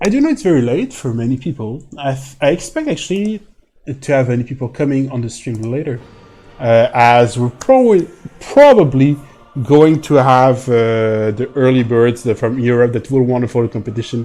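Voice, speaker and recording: A man with a French accent talks at a moderate pace in a medium pitch with ordinary pitch variation. Music plays in the background. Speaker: esports commentator. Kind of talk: live commentary. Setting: live stream.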